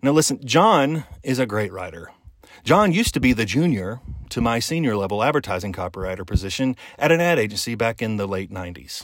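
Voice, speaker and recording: Talking at a fairly quick pace, a man uses an animated tone and lively intonation at a medium pitch. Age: 50s. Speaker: podcast host. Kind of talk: monologue podcast.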